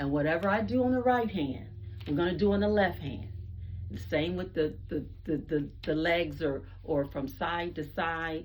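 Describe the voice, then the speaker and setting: A woman speaks fairly slowly in a very deep, low voice with vocal fry and very wide pitch swings. There is audible echo in the room. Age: 60s. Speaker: fitness video host, retiree. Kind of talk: exercise tutorial. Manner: casual, conversational.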